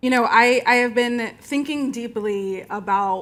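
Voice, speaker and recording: Someone with a Southern US accent talks at a fairly slow pace with ordinary pitch variation. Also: woman. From Florida. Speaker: movement lawyer. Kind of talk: panel discussion. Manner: halting, many fillers and restarts.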